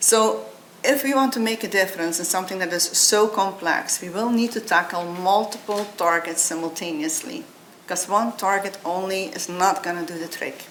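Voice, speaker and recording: A woman with a non-native accent speaks at a medium pitch. Audible room echo and noticeable background noise surround her voice. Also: ordinary pitch variation, moderate pace. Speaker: biotech company founder and CEO. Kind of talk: conference talk.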